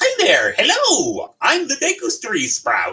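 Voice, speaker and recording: With faint music in the background, a man does a put-on character voice that is gravelly and extremely high in pitch, at a fairly slow pace. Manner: cheery, greeting.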